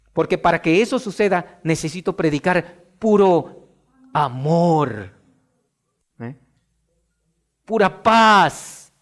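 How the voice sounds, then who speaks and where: Pitched high, a man's voice rises and falls with lively intonation. He talks at a very slow pace, with long, frequent pauses. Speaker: preacher. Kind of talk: sermon. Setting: church. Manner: forceful.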